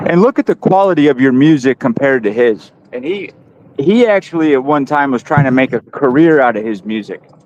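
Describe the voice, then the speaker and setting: Fairly quick pace and lively intonation in a dry, close sound with no echo. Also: man, fairly high pitch for a man. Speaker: livestream host. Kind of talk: casual chat. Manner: loud.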